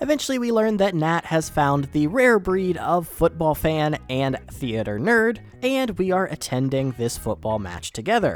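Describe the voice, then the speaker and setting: The voice moves at a moderate pace with hardly any pauses while music plays in the background. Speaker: gaming video narrator. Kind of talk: game walkthrough commentary.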